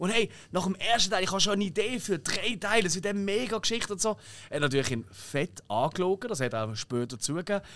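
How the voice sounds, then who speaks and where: In a Swiss accent, a high-pitched man races at a very fast pace with an animated tone and very wide pitch swings, on a very clean recording with a silent background. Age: 30s. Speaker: podcast host. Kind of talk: casual chat.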